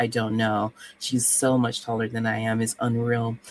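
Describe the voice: A woman's extremely low-pitched voice with monotone, flat intonation. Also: moderate pace.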